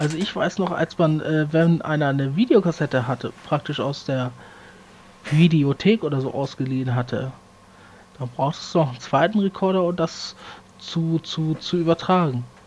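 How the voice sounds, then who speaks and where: At a moderate pace, a normal speaking voice comes through with ordinary pitch variation. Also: man, fairly high pitch for a man. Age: 30s. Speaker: podcast co-host. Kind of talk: casual chat.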